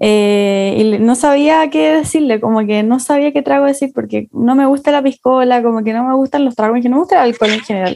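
A woman speaks at a fairly quick pace with a Chilean accent, her pitch high and her intonation lively. Her loudness stays very even, and she hardly pauses at all. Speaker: podcast co-host. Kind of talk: casual chat. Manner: animated.

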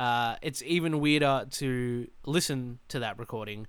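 A medium-pitched man with an Australian accent and fairly even intonation, on a very clean recording with a silent background. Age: 20s. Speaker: podcast host. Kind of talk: solo casual monologue. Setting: alone in a room. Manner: rambling with many fillers.

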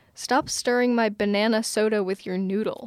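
A plain, everyday voice from a woman, fairly high in pitch, with fairly even intonation at a moderate pace. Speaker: podcast host. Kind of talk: casual chat.

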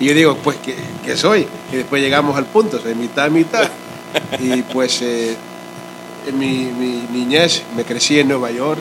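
Noticeable background noise sits behind a man speaking at a medium pitch with ordinary variation. He talks fairly slowly, with long, frequent pauses. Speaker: guest, pastor's son. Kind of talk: casual interview chat.

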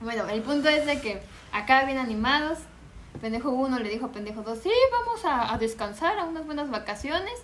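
A woman's high-pitched, fairly quick speech with lively intonation, audible room echo and noticeable background noise. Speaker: podcast guest. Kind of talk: casual chat.

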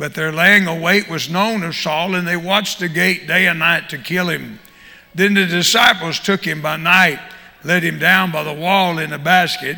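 Fairly even intonation in a Southern US accent at a moderate pace, with noticeable background noise. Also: man, high pitch for a man. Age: 70s. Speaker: visiting preacher and prison minister. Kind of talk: sermon. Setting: church.

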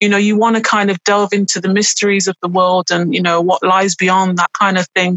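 In an East Midlands accent, a woman speaks at a fairly quick pace with hardly any pauses. Her medium pitch is monotone and flat, and her loudness stays very even. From English Midlands, Burton upon Trent. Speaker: author and writing mentor. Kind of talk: casual interview. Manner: hesitant, many fillers.

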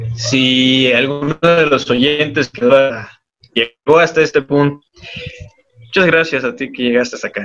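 A man talks at a fairly slow pace with fairly even intonation. He leaves long, frequent pauses while music plays in the background. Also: fairly high pitch for a man. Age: 20s. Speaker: university student, podcast co-host. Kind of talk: casual group discussion.

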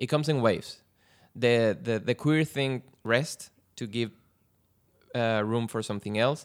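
On a very clean recording with a silent background, a man with an ordinary speaking voice talks at a moderate pace in a medium pitch with ordinary pitch variation. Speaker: podcast guest, film fan. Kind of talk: casual chat.

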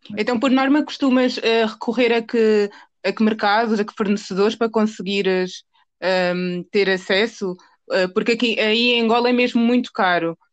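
Against a quiet background, a woman with an ordinary speaking voice and a fairly high pitch talks at a moderate pace with fairly even intonation. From Portugal. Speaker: podcast host. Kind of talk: interview.

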